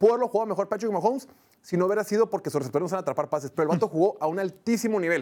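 A man with a high pitch and ordinary pitch variation talks at a very fast pace. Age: 40s. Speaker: sports podcast host. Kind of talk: casual sports talk show. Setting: studio.

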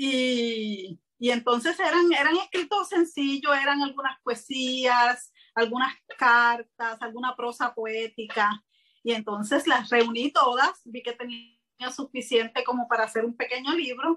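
At a fairly slow pace, a woman speaks in a high, bright, sharp tone with ordinary pitch variation. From Puerto Rico. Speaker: writer and self-publisher. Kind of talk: interview. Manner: hesitant with frequent fillers.

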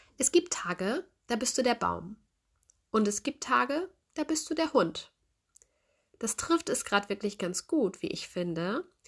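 Against a quiet background, a woman with a high pitch and warm tone speaks at a fairly slow pace, making very wide pitch swings and long, frequent pauses. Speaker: podcast host, life coach. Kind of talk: solo podcast monologue, advice. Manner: warm, friendly.

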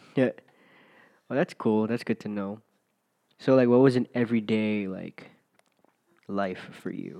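A man with an American accent speaks at a fairly slow pace, with long, frequent pauses. His tone is dark and mellow, and the background is quiet. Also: medium pitch for a man, ordinary pitch variation. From US mainland. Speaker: podcast host. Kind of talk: casual chat.

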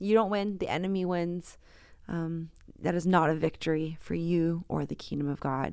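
Her pitch sits fairly low for a woman, and her intonation stays fairly even. She speaks at a moderate pace. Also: very clean recording, silent background. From San Francisco, US West Coast. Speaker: pastor, author and spoken word artist. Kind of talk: interview conversation.

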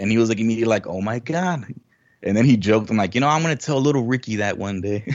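A man at medium pitch, very fast pace, ordinary pitch variation. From Mexico. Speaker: gamer and community member. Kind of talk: casual chat.

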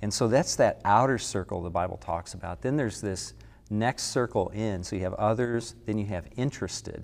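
A man with vocal fry speaks at a fairly quick pace in a fairly low pitch, with ordinary pitch variation. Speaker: associate pastor. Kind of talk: casual chat.

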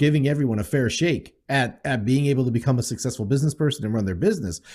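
This man's dark, mellow voice, somewhat breathy and medium in pitch, moves at a fairly quick pace on a very clean recording with a silent background. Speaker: podcast co-host.

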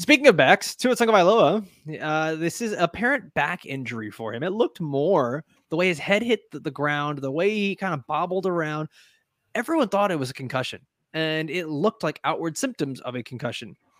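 A man's fairly high, animated voice with lively intonation at a fairly quick pace, in a very clean recording with a silent background and a dry, close sound with no echo. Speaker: fantasy football host. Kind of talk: casual sports chat. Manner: animated, joking.

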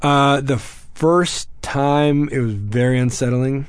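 A man speaks at a very slow pace with an American accent. His pitch is medium and his intonation fairly even. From Texas. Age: 30s. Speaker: military veteran. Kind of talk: interview.

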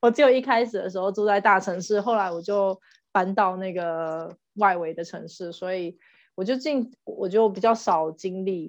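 In a quiet background, a woman with a plain, everyday voice talks at a fairly slow pace, with medium pitch and ordinary pitch variation. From Taiwan. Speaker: podcast co-host, mother. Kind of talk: casual chat.

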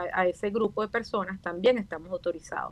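Talking at a moderate pace, a woman has an ordinary speaking voice at medium pitch. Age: 50s. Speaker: facial aesthetics doctor and dentist. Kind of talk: radio interview.

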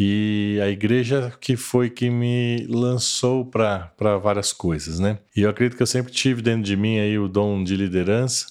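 A man with an unremarkable speaking voice talks at a fairly slow pace with hardly any pauses, a fairly low pitch, fairly even intonation, and very even loudness. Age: 50s. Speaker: church lay leader. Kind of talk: casual interview.

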